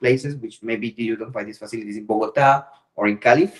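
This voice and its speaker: This man has a Colombian accent and a medium pitch. He speaks at a very fast pace. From Colombia, Pacific coast. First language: Spanish. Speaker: business owner in trading. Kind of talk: casual chat. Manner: halting.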